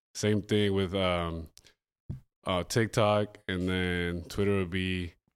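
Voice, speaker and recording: A man's very deep, low voice in a Spanish accent, flat and monotone at a very slow pace, on a very clean recording with a silent background. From Colombia. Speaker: EDM event promoter. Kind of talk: casual chat. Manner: halting.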